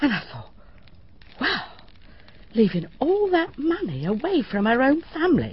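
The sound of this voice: Putting on a character voice, a woman speaks high and fairly slowly, her pitch swinging very widely.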